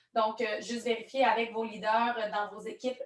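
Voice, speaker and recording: Speaking with a strong Quebec accent, a woman has a fairly high-pitched voice. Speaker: network marketing trainer. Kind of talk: online training presentation.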